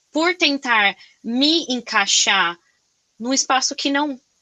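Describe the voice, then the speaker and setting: In a Brazilian accent, a woman uses a raised, projected voice that is high, bright and sharp, with very wide pitch swings at a very slow pace. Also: dry, close sound with no echo. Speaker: podcast host. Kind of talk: casual interview chat. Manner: loud; animated, expressive.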